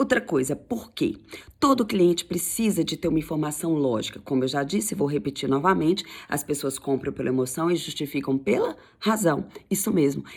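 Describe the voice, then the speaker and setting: A woman with a very deep, low pitch speaks in an animated tone, her pitch swinging very widely. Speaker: sales coach. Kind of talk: tutorial. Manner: fast.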